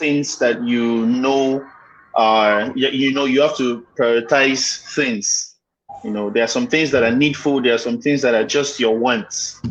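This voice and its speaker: Someone with a Nigerian accent speaks at a fairly slow pace with fairly even intonation. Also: man, medium pitch for a man. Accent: Nigerian (Yoruba) English. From Nigeria, Lagos (Yoruba). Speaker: guest, maritime graduate. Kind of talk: casual interview. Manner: halting, many fillers.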